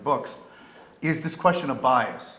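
A man's voice with audible room echo. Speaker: moderator; panel moderator. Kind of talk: panel discussion. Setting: stage with audience. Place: hall.

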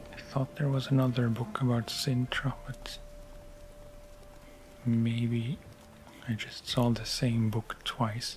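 Soft-spoken at medium pitch, a man talks at a very slow pace with monotone, flat intonation and long, frequent pauses over light background noise. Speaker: ASMR narrator. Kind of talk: book reading. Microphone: studio mic.

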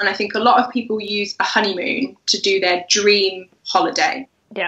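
A woman's fairly even intonation with an English accent, amid audible room echo. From England. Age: 20s. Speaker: wedding blogger. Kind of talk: casual chat. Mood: relaxed, friendly. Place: home room. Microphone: video call.

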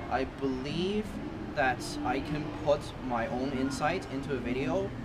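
A man, with music in the background. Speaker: interviewee. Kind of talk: interview answer. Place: street.

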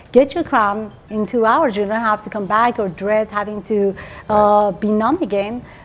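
With a Persian accent, a woman talks in a fairly high voice. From Iran. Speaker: dentist; interviewee. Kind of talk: TV interview. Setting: at her home. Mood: warm, enthusiastic. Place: home room. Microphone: lapel.

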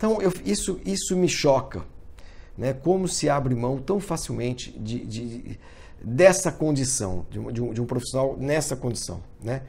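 The voice is dark and mellow with vocal fry. It moves at a fairly slow pace through very wide pitch swings. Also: man, medium pitch for a man. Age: 50s. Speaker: motorsport journalist; sports journalist. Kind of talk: video commentary monologue. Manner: halting with many fillers. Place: home room. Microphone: phone near.

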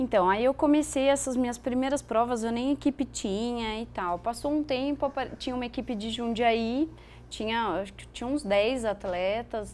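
With a plain, everyday voice, a woman talks at a moderate pace and fairly high pitch, showing ordinary pitch variation and big swings in loudness. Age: 30s. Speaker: elite cyclist and veterinarian. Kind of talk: interview. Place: studio.

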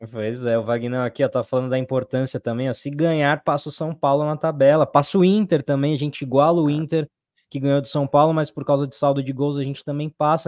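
This is a normal speaking voice at a fairly quick pace. The sound is dry and close with no echo. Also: man. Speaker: football fan channel co-host. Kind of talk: casual live-stream chat.

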